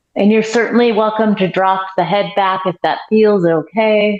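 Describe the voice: A woman's strained, put-on character voice at medium pitch and a moderate pace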